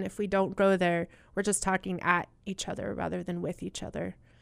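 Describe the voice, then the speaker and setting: The recording is very clean with a silent background as a woman talks in an American accent. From US Southwest (Utah, Colorado, Arizona). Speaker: pastor and ministry director. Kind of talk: interview. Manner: hesitant with many fillers.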